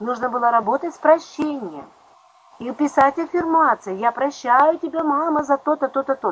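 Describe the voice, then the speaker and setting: A woman speaks at a moderate pace and a high pitch, with ordinary pitch variation. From Don region, southern Russia. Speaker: psychologist. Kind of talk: interview.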